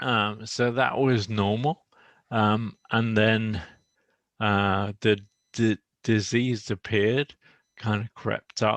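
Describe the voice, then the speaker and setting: Very slow speech with long, frequent pauses and fairly even intonation, the sound dry and close with no echo against a quiet background. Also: man, fairly low pitch for a man. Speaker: person living with motor neuron disease. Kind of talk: casual chat. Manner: slow, halting speech.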